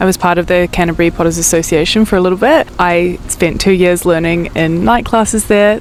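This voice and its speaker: A woman's fairly low voice in a New Zealand accent, fairly even in intonation, over noticeable background noise. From New Zealand, Christchurch. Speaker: potter and video creator. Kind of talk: casual vlog talk to camera.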